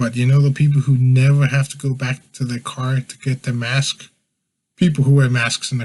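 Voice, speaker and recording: Speaking at a very fast pace, a man with a medium pitch sounds somewhat breathy. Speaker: podcast host. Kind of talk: casual podcast monologue. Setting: live stream at home.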